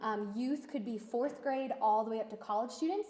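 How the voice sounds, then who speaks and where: A woman speaks with a fairly high pitch and fairly even intonation. Noticeable background noise runs behind her. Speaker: nonprofit internship coordinator. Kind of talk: presentation at business meeting. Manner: hesitant, many fillers.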